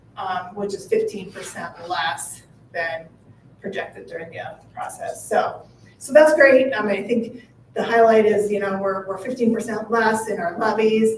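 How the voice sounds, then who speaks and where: Over noticeable background noise, a woman talks at a fairly slow pace in a fairly high pitch, with ordinary pitch variation and big swings in loudness. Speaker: municipal finance advisor. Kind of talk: board meeting presentation. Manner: hesitant, many fillers.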